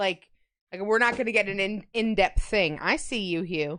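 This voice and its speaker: The speaker has a slight Long Island accent and ordinary pitch variation. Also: woman. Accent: slight New York accent, sounds Long Island. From New York. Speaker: streamer. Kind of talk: live-stream baking chat. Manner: loud; casual, chatty.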